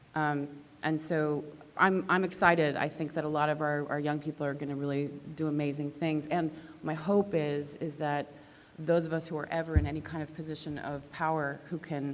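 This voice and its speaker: A woman with a very deep, low pitch talks at a fairly quick pace in a monotone, flat intonation, with noticeable background noise and audible room echo. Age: 40s. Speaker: composer and professor. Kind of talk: panel discussion. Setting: stage with audience.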